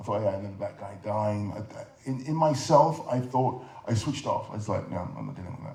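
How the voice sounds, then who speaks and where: Speaking with a London accent, a man keeps a fairly quick pace. His pitch sits in the medium range with ordinary variation. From London, England. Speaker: film director and artist. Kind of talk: interview answer.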